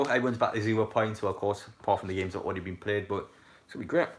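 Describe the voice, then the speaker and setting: The man talks at a medium pitch. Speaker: football fan streamer. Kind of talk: live stream commentary chat. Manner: fast; animated.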